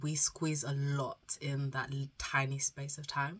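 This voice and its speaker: A woman talks in a very deep, low, somewhat breathy voice with monotone, flat intonation, captured in a very clean recording over a silent background. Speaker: student vlogger. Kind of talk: casual vlog chat. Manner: subdued, spaced out; careful, holding back coughs.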